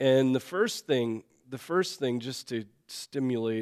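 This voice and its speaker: Against a silent background in a very clean recording, a man talks at a very slow pace. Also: dry, close sound with no echo. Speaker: pastor teaching Sunday school. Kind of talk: Bible class teaching. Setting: church classroom. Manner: frequent fillers, clears throat.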